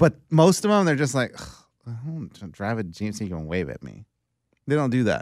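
The pitch of the man's voice swings very widely at a fairly quick pace. The recording is very clean with a silent background and a dry, close sound with no echo. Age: 40s. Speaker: sports podcast co-host. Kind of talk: casual chat.

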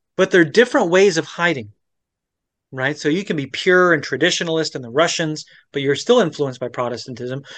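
Against a quiet background, a man with an American accent speaks in a normal speaking voice, fairly high in pitch. His intonation is lively and his pace fairly quick. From Florida. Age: 40s. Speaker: pastor, former Orthodox priest. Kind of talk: interview about faith journey. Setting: remote video interview.

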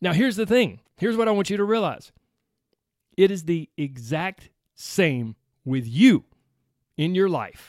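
Speaking at a fairly slow pace with an American accent, a man uses a high pitch that swings very widely. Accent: Southern US, slight to strong. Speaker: weight loss podcast host. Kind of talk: motivational solo podcast talk. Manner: animated.

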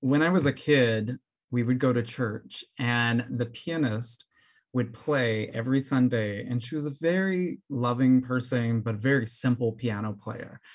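A normal speaking voice from a man with an American accent, medium pitch, ordinary pitch variation and a fairly slow pace over a quiet background. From US South, New Orleans. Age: 30s. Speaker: clarinetist and music educator. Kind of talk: interview conversation.

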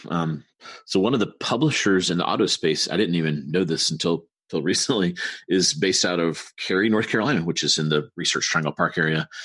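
Against a quiet background, a man talks at a fairly quick pace. His pitch is very deep and low, with ordinary pitch variation. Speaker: podcast co-host, business executive. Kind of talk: casual news discussion.

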